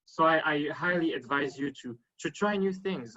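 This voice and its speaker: With a French accent, a man talks with ordinary pitch variation. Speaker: panelist on networking. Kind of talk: panel discussion. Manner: halting, many fillers.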